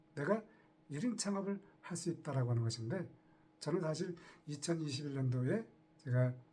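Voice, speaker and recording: Using long, frequent pauses, a man with a fairly high pitch and a dark, mellow tone speaks with lively intonation. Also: moderate pace. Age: 60s. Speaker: retiree turned online entrepreneur. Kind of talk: casual talk to camera.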